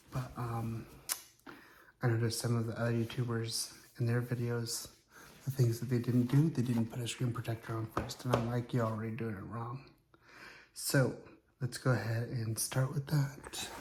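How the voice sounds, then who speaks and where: A man's medium-pitched, monotone, flat delivery at a moderate pace, with long, frequent pauses and noticeable background noise. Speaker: YouTuber. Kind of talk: casual unboxing vlog. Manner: soft-spoken.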